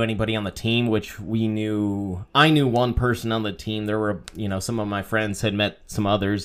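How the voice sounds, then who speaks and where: A man with an American accent speaks at medium pitch and a moderate pace in an ordinary speaking voice. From Wisconsin. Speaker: fantasy football podcast co-host. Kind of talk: casual chat.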